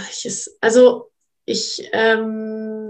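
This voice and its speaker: A woman with a normal speaking voice talks at a fairly high pitch with fairly even intonation. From Munich, Bavaria. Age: 20s. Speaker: model, influencer and actress. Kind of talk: casual conversation.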